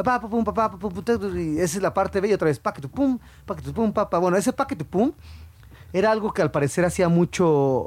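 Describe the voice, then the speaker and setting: An animated man with a high pitch, lively intonation, a fairly quick pace and long, frequent pauses. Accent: Mexico City. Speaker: podcast co-host. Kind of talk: casual chat about music. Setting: recording studio. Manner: animated, laughing often.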